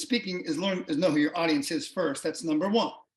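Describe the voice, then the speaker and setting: A man's high-pitched voice with lively intonation. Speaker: CEO of a speakers bureau, professional speaker. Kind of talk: interview. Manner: fast.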